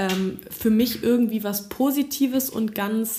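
Her voice is fairly high in pitch for a woman, with ordinary pitch variation. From Berlin. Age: 20s. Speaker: music student. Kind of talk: casual chat. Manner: halting.

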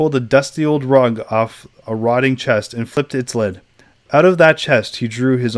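Reading in a natural voice, the speaker lets pitch vary an ordinary amount.

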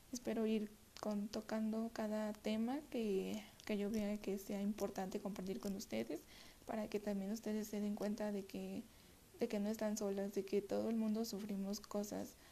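Her dark, mellow tone is somewhat breathy as this woman speaks at a medium pitch and a moderate pace with monotone, flat intonation. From Mexico City. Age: 20s. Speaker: podcast host. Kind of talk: self-help monologue. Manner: halting, many repetitions.

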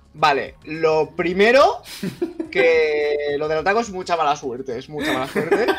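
Over music in the background, a man talks fairly slowly at a fairly high pitch with ordinary pitch variation. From Andalusia, Jaén province. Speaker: gamer, chat group admin. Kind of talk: casual chat. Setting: live stream.

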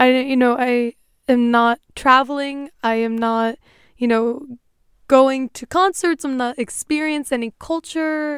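On a very clean recording with a silent background, a woman speaks at a high pitch. Her pace is fairly slow and her intonation fairly even. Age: 20s. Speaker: podcast host. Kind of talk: solo tutorial talk.

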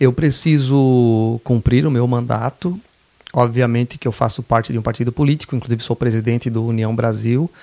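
The recording is dry and close, with no echo. A man speaks at a medium pitch in a dark, mellow tone, keeping his intonation fairly even. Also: moderate pace. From southern Santa Catarina, Brazil (Laguna). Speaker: state legislator. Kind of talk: podcast interview.

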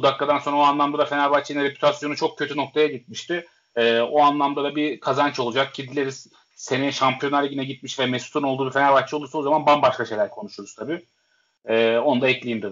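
Very fast speech comes from a man with a fairly high pitch and fairly even intonation. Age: 20s. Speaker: football coach. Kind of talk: casual chat.

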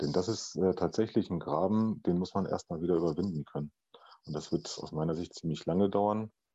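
Over a quiet background, a man with a very deep, low pitch and a dark, mellow tone speaks at a fairly quick pace with ordinary pitch variation. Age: 40s. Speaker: podcast guest, father. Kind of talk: casual interview conversation. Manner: hesitant, many filler sounds.

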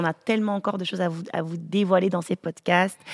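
A woman's ordinary speaking voice at a medium pitch, fairly quick and fairly even in intonation, with a dry, close sound and no echo. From African family, French-speaking. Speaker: podcast host, pastor's family. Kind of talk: casual chat.

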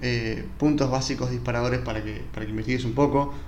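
A man rushes along at a very fast pace amid audible room echo and noticeable background noise. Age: 30s. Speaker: podcast host. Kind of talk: solo reflective monologue. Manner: relaxed, casual.

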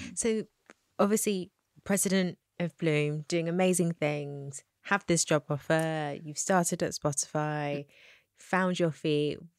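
A woman speaks at a fairly slow pace with fairly even intonation, in a very clean, dry, close recording with no echo and a silent background. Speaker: interviewer. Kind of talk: casual interview. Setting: recording room.

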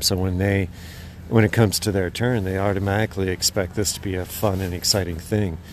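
Over noticeable background noise, a man with an American accent speaks fairly quickly in a fairly low pitch and a monotone, flat intonation. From Idaho. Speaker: dog musher and tour guide. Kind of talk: interview.

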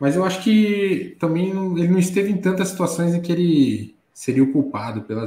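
Using lively intonation, a man with a high voice talks at a moderate pace. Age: 30s. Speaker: football commentator. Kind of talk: casual chat.

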